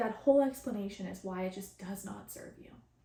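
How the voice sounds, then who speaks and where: Somewhat breathy, a woman's voice carries ordinary pitch variation. She talks at a moderate pace. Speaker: spiritual channeler and podcast host. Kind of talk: casual podcast monologue. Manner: halting, many repetitions.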